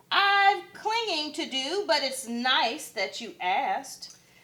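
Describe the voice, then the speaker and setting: This put-on character voice moves at a very slow pace with very wide pitch swings. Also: woman, high pitch for a woman. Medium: read story. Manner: hesitant, timid.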